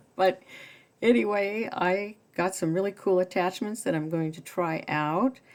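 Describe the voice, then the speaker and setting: In a normal speaking voice, a woman with a medium pitch talks at a fairly slow pace, with ordinary pitch variation and big swings in loudness. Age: 60s. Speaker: sewing hobbyist video host. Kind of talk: casual tutorial. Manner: casual, with filler words.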